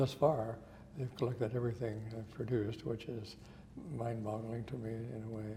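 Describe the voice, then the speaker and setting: With an American accent, a man speaks at a moderate pace in a monotone, flat intonation, with audible room echo around him. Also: medium pitch for a man. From Montana. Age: 70s. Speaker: photographer, retired physician. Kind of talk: interview. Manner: hesitant, many fillers.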